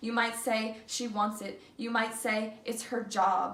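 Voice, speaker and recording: Over noticeable background noise, a woman with a fairly high voice speaks at a fairly slow pace. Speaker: student. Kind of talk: slam poetry performance. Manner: reading from paper, not memorized.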